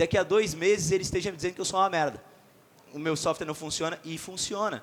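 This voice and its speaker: A man's animated tone at a high pitch, very fast pace and ordinary pitch variation. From Florianópolis, Brazil. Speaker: sales company CEO, conference speaker. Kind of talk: conference talk.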